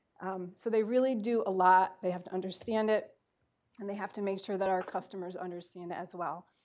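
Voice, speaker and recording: Using an ordinary speaking voice, a woman talks at a fairly quick pace with a medium pitch and fairly even intonation. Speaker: utility outreach manager. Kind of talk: board meeting presentation.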